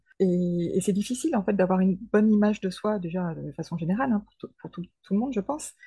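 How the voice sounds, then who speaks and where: A woman speaks at a fairly quick pace, her voice dark, mellow and somewhat breathy. Her pitch sits in the middle range with ordinary variation. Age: 40s. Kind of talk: interview testimony. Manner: hesitant, with fillers and repetitions.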